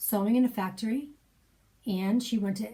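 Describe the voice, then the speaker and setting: Her voice is somewhat breathy, with a dark, mellow tone, a fairly high pitch and ordinary pitch variation. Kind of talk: personal storytelling, spoken memoir.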